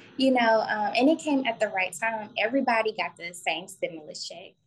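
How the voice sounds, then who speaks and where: Somewhat breathy and fairly high-pitched, a woman talks at a moderate pace with lively intonation. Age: 20s. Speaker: esthetician and spa owner. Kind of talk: casual interview.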